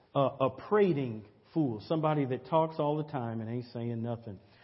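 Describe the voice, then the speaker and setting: With ordinary pitch variation, a man talks at a medium pitch in a somewhat breathy voice. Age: 50s. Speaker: pastor. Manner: earnest, repetitive preacher cadence with stammered restarts and 'say amen' calls; conversational and direct, addressing the congregation.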